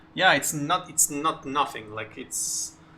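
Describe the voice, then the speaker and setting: A man's fairly high voice at a fairly slow pace amid noticeable background noise. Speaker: gaming streamer. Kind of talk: casual chat. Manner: halting, many fillers.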